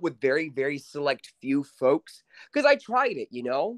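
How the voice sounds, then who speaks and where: A man talks at a moderate pace in a normal speaking voice, with lively intonation. The sound is dry and close, with no echo. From New York City. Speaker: podcast guest, friend of host. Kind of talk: casual chat.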